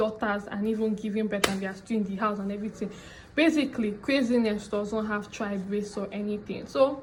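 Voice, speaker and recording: In a room with audible echo, a woman with a Nigerian accent talks at a fairly quick pace and fairly high pitch with fairly even intonation. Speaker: YouTuber storyteller. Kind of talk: story time vlog narration.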